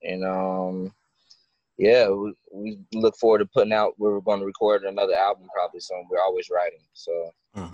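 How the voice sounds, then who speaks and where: Dry, close sound with no echo, carrying a man's voice at a moderate pace. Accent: American. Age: 20s. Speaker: musician. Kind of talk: casual interview. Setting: phone call.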